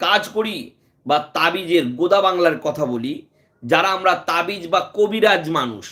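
Raised and projected, the man's voice carries. It is pitched high, with a bright, sharp tone. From India, West Bengal. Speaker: Islamic healer and YouTube preacher. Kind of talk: live stream religious talk. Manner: phrase-by-phrase with frequent pauses.

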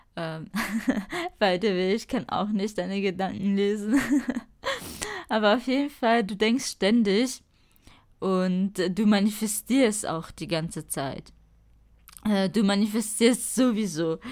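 A woman of medium pitch speaks at a very slow pace with long, frequent pauses and ordinary pitch variation, in a very clean recording with a silent background. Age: 20s. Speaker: spirituality podcaster. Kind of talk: solo podcast monologue. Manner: casual with many fillers.

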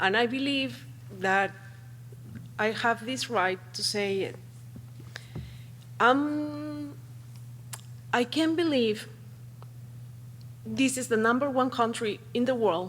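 A woman with a Spanish accent speaks at a medium pitch and a very slow pace, with very wide pitch swings. Her pauses are long and frequent. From Peru. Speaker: parent speaking at public comment. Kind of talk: public comment at board meeting. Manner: halting.

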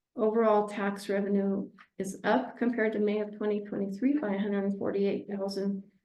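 A woman speaks at a fairly quick pace. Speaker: city finance staff presenting report. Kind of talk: financial report at council meeting. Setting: city council meeting. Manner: fast.

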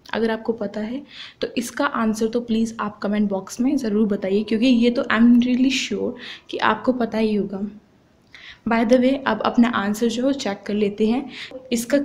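The voice is a normal speaking voice with fairly even intonation. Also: woman. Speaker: online tutor. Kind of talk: tutorial.

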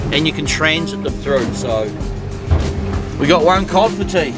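A man speaks fairly quickly while clear music sounds behind him. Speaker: fishing vlogger. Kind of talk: casual vlog chat. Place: boat. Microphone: phone near.

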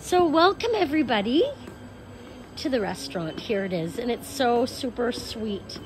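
Clear music plays behind a woman with a high pitch. She speaks at a fairly slow pace. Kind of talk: casual vlog chat. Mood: cheerful, enthusiastic. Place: cafe. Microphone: phone near.

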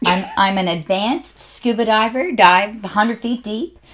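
With a Canadian accent, a woman speaks in an animated tone. Her intonation is lively. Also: quiet background. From Canada. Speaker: motivational speaker and author. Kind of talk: casual interview chat. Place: studio.

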